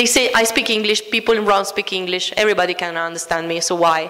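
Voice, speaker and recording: In an Italian accent, a woman speaks at a fairly quick pace and a medium pitch. Audible room echo and noticeable background noise are present. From Italy. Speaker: food studies educator. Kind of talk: conference talk.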